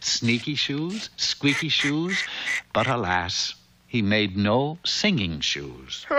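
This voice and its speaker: A man speaks at a very slow pace with very wide pitch swings over noticeable background noise. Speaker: narrator. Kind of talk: children's cartoon narration.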